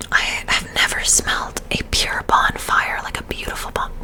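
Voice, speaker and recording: Over noticeable background noise, a whisper goes along at a fairly slow pace. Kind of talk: ASMR perfume review, casual talk to camera. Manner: soft, intimate, ASMR-style.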